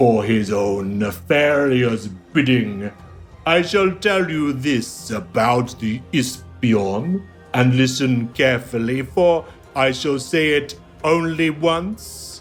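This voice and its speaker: Over clear background music, someone delivers a put-on character voice at a very slow pace. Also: man, medium pitch for a man. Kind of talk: archaic, formal speech. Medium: actual play. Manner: very slow, stately, archaic.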